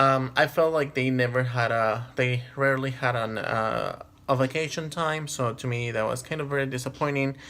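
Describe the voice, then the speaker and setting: A man with a non-native accent talks at a moderate pace and a medium pitch, with hardly any pauses. His tone is bright and sharp, and his intonation fairly even. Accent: has a non-native. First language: not English. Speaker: vlogger. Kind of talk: personal storytelling monologue. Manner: hesitant, many fillers.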